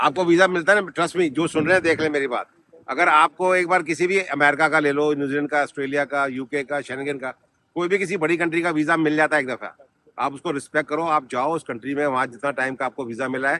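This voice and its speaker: Bright and sharp in tone, a man speaks with a fairly high pitch at a moderate pace. His intonation stays fairly even. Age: 60s. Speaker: travel vlogger. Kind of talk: casual chat.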